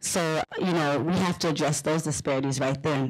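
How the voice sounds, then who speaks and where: Moderate pace in a Liberian accent. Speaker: panelist. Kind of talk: panel discussion.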